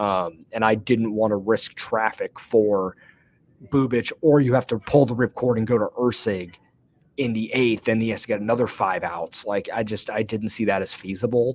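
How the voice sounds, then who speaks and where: A medium-pitched male voice with fairly even intonation. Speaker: sports podcast host. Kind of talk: casual sports analysis chat. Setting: press box at stadium. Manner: fast with many fillers.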